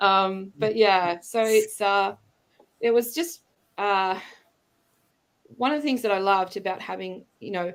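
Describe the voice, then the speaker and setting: Speaking with an Australian accent at a fairly slow pace, a woman with a medium pitch and ordinary pitch variation leaves long, frequent pauses in a very clean recording with a silent background. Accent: Australian, back after years abroad. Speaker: international school educator. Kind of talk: casual interview chat. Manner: hesitant, many fillers.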